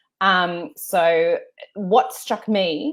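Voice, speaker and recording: Pitched fairly low, a woman talks with an Australian accent. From Australia, Melbourne. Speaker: journalist and author. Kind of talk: interview. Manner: halting, many fillers.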